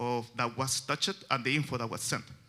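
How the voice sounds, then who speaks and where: With a Chilean Spanish accent, a man talks at a fairly quick pace in a bright, sharp tone with fairly even intonation. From Chile, Santiago. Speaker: software developer. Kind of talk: conference talk. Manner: halting, many fillers.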